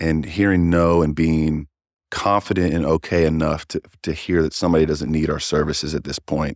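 A man with a very deep, low pitch speaks in a Kentucky accent at a moderate pace, his intonation monotone and flat. The sound is dry and close with no echo, on a very clean recording with a silent background. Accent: Kentucky American. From Kentucky, Louisville. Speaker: sales manager. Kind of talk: interview. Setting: in person.

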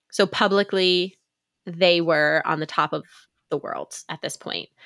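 In an American accent, a woman speaks at a moderate pace with a fairly low pitch, a bright, sharp tone and fairly even intonation, on a very clean recording with a silent background. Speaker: podcast host. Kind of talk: casual podcast chat.

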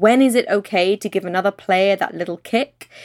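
A woman with a British accent talks at a medium pitch and a moderate pace with ordinary pitch variation. The recording is very clean, dry and close, with no echo and a silent background. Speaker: podcast co-host, economics journalist. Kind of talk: podcast discussion.

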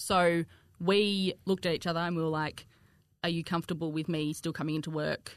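With a strong Australian accent, a woman speaks at a fairly quick pace in a fairly low pitch. Her intonation is fairly even, and the sound is dry and close with no echo. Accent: broad Australian. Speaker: content creator and cake decorator. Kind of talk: casual chat.

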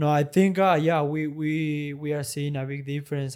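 A man with a Spanish accent, fairly slow and fairly even in intonation. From Argentina. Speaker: professional padel player. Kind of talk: interview. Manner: halting.

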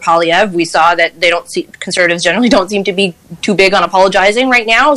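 Noticeable background noise behind a woman's speech, with ordinary pitch variation. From Quebec, Granby. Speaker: political panelist. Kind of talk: panel discussion.

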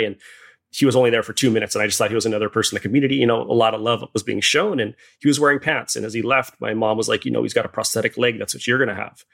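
The speaker has a Hawaiian accent. The pace is very fast. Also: man. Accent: Hawaiian American English. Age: 40s. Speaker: photographer and shark attack survivor. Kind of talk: interview conversation.

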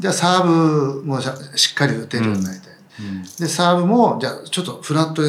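A fairly high-pitched man's voice with very wide pitch swings over noticeable background noise. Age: 60s. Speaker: veteran tennis coach. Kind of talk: casual interview conversation.

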